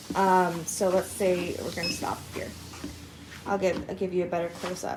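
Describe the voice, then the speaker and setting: At a moderate pace, a woman speaks in a monotone, flat intonation at medium pitch, with noticeable background noise and audible room echo. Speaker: product reviewer. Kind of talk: product review while walking on treadmill. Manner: casual, chatty with fillers.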